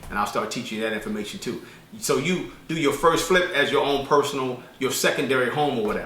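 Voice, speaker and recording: A man talks at a fairly quick pace with a medium pitch. Noticeable background noise and audible room echo surround his voice. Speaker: herbalist and business credit teacher. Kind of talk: casual tutorial vlog. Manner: fast; halting with fillers and repeats.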